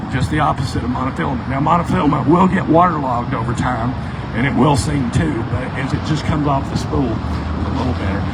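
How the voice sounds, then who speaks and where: Amid noticeable background noise and audible room echo, a man speaks at a very fast pace in a medium pitch with very wide pitch swings. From Tennessee. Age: 60s. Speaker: fishing guide and author. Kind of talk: casual Q&A talk at a store event.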